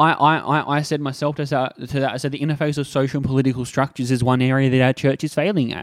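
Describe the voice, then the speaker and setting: Someone with an Australian accent talks at a very fast pace in a dry, close sound with no echo. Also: man. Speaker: podcast host and church minister. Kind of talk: solo podcast monologue. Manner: casual with frequent fillers.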